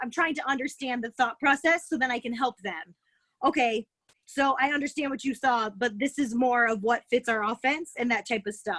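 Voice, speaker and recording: Loud and high-pitched, a woman speaks in a bright, sharp tone with ordinary pitch variation in a dry, close sound with no echo. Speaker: college basketball head coach. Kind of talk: Q&A on video call. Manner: animated.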